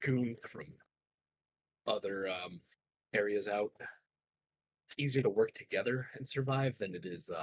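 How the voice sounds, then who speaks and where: A man's put-on character voice, raspy and medium in pitch, at a moderate pace with long, frequent pauses, dry and close with no echo. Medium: actual play. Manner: casual, slangy, rambling.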